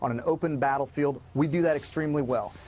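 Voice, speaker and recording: A man talks at a fairly quick pace with a fairly high pitch. His is a plain, everyday voice. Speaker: former Navy SEAL, security company co-founder. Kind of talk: TV news interview answer.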